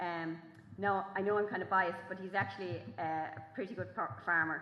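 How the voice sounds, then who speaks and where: With an Irish accent, a woman talks at a fairly quick pace with lively intonation, amid noticeable background noise and audible room echo. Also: medium pitch for a woman. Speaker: farming journalist and author. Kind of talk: festival talk. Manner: fast; halting.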